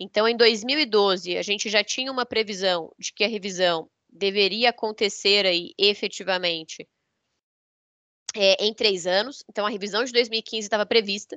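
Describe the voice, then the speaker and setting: Moderate pace and ordinary pitch variation. A plain, everyday voice. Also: woman, medium pitch for a woman. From southern Brazil. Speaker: energy sector consultant and lawyer. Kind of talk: lecture.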